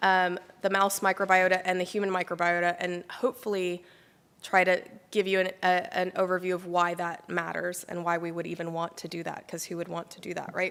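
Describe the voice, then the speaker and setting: A woman with an American accent speaks at a fairly quick pace and medium pitch, her intonation monotone and flat while her loudness swings widely. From United States. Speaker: immunologist and microbiome researcher. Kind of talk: lecture. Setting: talk to a small live audience.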